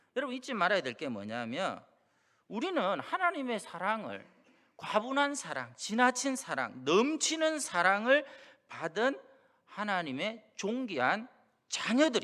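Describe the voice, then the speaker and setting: In a strong Gyeongsang accent, a man raises and projects his bright, sharp, high-pitched voice. He speaks at a fairly slow pace with very wide pitch swings. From Busan, South Korea. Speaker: pastor. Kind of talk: sermon.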